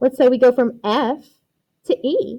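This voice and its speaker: A high-pitched female voice with a dark, mellow tone. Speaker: teacher. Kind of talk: lecture. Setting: recorded video lesson with document camera. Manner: animated.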